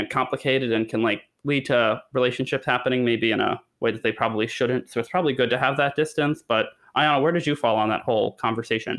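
Talking at a fairly quick pace, a man with an American accent and a normal speaking voice keeps a medium pitch and fairly even intonation. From Connecticut. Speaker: theater news podcast co-host. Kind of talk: casual chat.

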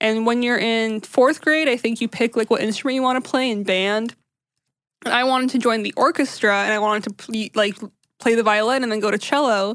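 Over a quiet background, a woman speaks in a normal speaking voice at a fairly quick pace. Her pitch is fairly high, with fairly even intonation. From US, Syrian immigrant family. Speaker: podcast host. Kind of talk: casual chat.

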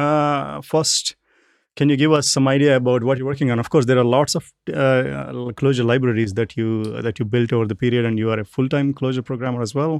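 Recorded very cleanly with a silent background, a man talks at medium pitch with ordinary pitch variation. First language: not English. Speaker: podcast co-host. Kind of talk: casual chat. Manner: hesitant, many fillers.

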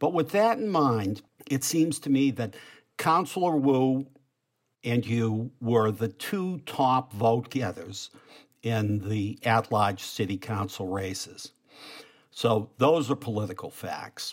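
Speaking very slowly with a Boston accent, a man uses lively intonation at a medium pitch. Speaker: political journalist and podcast co-host. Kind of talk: interview. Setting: video call.

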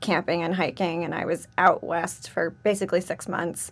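A woman with an American accent speaks at a moderate pace in a plain, everyday voice. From New York City, Manhattan. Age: 30s. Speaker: MBA student. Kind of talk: casual chat.

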